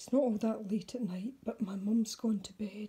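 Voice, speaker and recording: A soft-spoken woman in a Scottish accent, medium in pitch, somewhat breathy, with a dark, mellow tone, fairly even intonation and a fairly slow pace. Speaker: mixed media artist. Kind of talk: casual vlog. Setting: at home, night, makeshift desk.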